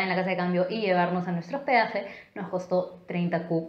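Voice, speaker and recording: Against a quiet background, a woman talks at a moderate pace, and the room echo is audible. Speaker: travel vlogger. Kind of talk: casual vlog chat. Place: home room.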